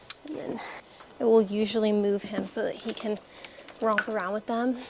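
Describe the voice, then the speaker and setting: Against noticeable background noise, a woman talks at a moderate pace in a fairly high voice with fairly even intonation. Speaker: homesteader and vlogger. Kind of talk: casual vlog talk. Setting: outdoors on a farm. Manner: casual, rambling.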